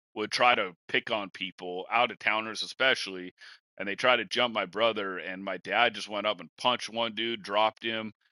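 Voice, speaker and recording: A man with a Washington State accent speaks at a moderate pace in a fairly low pitch, his bright, sharp tone showing fairly even intonation but big swings in loudness, in a dry, close sound with no echo and a quiet background. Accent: rural Washington. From rural eastern Washington. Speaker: podcast host. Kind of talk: casual chat.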